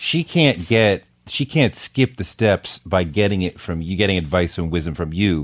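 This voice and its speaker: This man has a very deep, low voice and an American accent. He talks at a moderate pace with lively intonation. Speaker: podcast host and writer. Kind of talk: casual interview chat.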